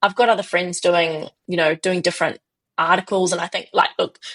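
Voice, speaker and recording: A woman with a fairly low pitch speaks with monotone, flat intonation in a New Zealand accent, in a dry, close sound with no echo. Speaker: business founder. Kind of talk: podcast interview.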